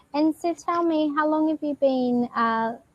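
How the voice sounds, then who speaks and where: A woman with an Australian accent speaks at a very slow pace with lively intonation. The sound is dry and close, with no echo. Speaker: online English tutor. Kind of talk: casual conversation lesson.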